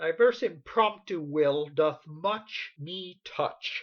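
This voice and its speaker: A put-on character voice is used here. The delivery is fairly slow. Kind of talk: iambic pentameter period comedy. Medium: stage play. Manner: proud, blunt.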